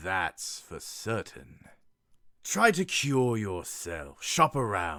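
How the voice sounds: A man talks in a put-on character voice at a medium pitch. His pace is very slow.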